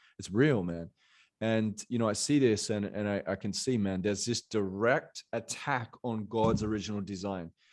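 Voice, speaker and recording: Animated in tone, a man speaks with an Australian accent at a fairly low pitch. His pitch varies in an ordinary way, and the background is quiet. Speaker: motivational coach. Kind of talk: podcast interview.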